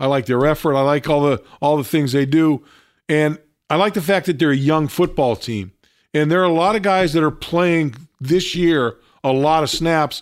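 The recording is very clean with a silent background, and a man speaks at a fairly high pitch and a moderate pace. His loudness stays very even, and his pitch varies in an ordinary way. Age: 60s. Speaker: radio host. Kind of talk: casual sports talk. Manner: halting, repeats words.

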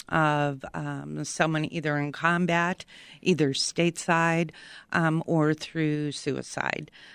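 A woman's very deep, low voice with an American accent, monotone and flat at a very slow pace, in a very clean recording with a silent background. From Chicago, south side. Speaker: veterans outreach coordinator. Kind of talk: radio interview.

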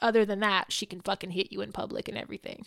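In a very clean recording with a silent background, a woman talks at a very fast pace with vocal fry and an animated tone, her medium pitch showing ordinary variation. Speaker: podcast co-host. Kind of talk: casual chat.

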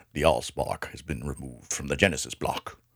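A man speaks fairly quickly in a put-on character voice. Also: very deep, low pitch for a man. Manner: grave, booming.

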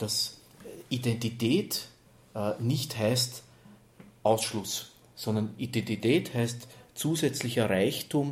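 Very slowly and with long, frequent pauses, a man speaks at medium pitch in a somewhat breathy voice with ordinary pitch variation. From Lower Austria (Neunkirchen). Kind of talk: interview.

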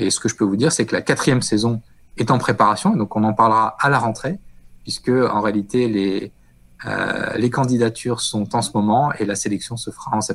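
Speaking at a moderate pace and medium pitch, a man uses a normal speaking voice. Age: 40s. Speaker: telecom executive. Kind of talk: interview.

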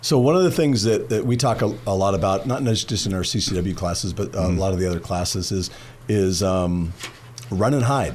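At a fairly quick pace, a man talks in a plain, everyday voice, fairly low in pitch with ordinary variation. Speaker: firearms instructor and gun dealer. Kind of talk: radio interview. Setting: studio.

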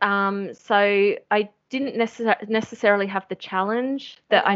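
A woman talks with an Australian accent. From Australia, Sydney. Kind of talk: interview.

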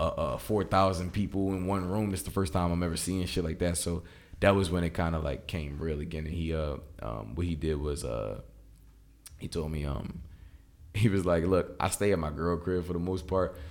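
A man's very deep, low voice at a moderate pace with ordinary pitch variation. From Philadelphia. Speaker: rapper. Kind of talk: casual interview chat.

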